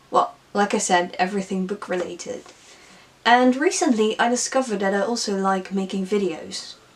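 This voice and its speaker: Over noticeable background noise, a woman speaks at a moderate pace in a Dutch accent, with ordinary pitch variation. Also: medium pitch for a woman. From Netherlands. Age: 20s. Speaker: book vlogger. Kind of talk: casual vlog monologue.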